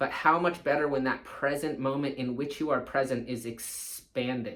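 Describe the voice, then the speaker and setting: This man has an ordinary speaking voice, fairly high in pitch, with fairly even intonation at a moderate pace. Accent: American. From California. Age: 40s. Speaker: surf coach. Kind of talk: casual talk to camera.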